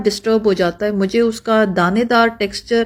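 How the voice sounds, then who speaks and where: This woman has an unremarkable speaking voice. Her pitch is fairly high. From Pakistan. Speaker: family vlogger. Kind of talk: cooking recipe explanation.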